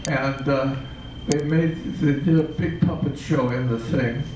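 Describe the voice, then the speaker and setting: A man speaks very slowly, with audible room echo and noticeable background noise. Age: 80s+. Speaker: puppeteer. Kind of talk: interview. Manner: halting.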